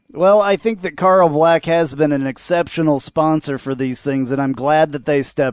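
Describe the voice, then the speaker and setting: In a normal speaking voice, a man talks at a moderate pace and fairly high pitch, recorded dry and close with no echo. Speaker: podcast host. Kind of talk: sports podcast banter.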